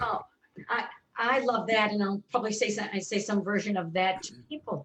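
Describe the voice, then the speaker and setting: This woman has an unremarkable speaking voice, pitched fairly high, with ordinary pitch variation and a moderate pace. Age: 60s. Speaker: colon therapist and author. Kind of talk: casual chat.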